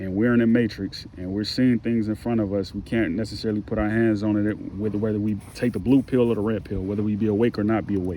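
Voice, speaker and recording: Talking at a very fast pace with hardly any pauses, a man uses a fairly low pitch and monotone, flat intonation. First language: not English. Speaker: online commentator. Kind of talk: book reading with commentary; reading aloud.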